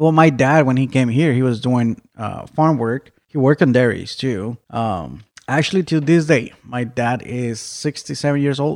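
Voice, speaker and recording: With an American accent, a man talks in a plain, everyday voice at a medium pitch and moderate pace, with ordinary pitch variation and hardly any pauses. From Mexico, raised partly in Arizona. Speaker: dairy farm HR manager. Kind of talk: interview.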